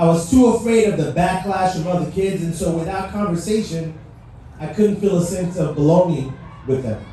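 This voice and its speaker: There is noticeable background noise and audible room echo as a man talks at a moderate pace with a high pitch and ordinary pitch variation. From Haiti. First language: French. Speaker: motivational speaker. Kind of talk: speech. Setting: stage with audience. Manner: animated.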